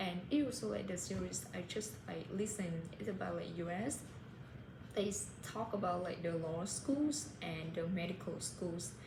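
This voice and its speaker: A woman with a Vietnamese accent, fairly low in pitch with very wide swings, at a moderate pace amid audible room echo and noticeable background noise. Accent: Vietnamese, self-described. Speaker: English learner vlogger. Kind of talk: casual monologue. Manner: halting, many fillers.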